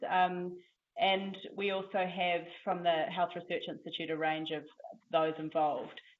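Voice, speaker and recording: A woman with a fairly low pitch speaks fairly slowly in a monotone, flat intonation, with audible room echo around her. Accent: New Zealand. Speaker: academic seminar host. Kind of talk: seminar introduction. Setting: lecture room with audience. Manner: hesitant with many fillers.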